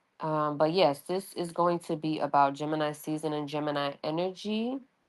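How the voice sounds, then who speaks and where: A woman with a New York accent speaks at a moderate pace in a very deep, low pitch. Her pitch varies in an ordinary way on a very clean recording with a silent background. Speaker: astrology reader. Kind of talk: casual astrology reading monologue. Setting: audio-only livestream. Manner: casual, conversational with fillers.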